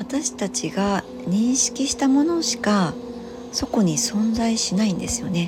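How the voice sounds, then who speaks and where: A soft-spoken woman talks at a fairly slow pace with a fairly high pitch and ordinary pitch variation over noticeable background noise. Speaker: spiritual healer and nurse. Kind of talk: solo podcast monologue. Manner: rambling with many fillers.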